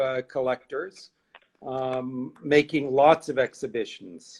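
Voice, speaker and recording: At a very slow pace, a man talks in a New York accent. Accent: American, New York. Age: 60s. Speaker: art curator. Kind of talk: interview. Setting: live stream.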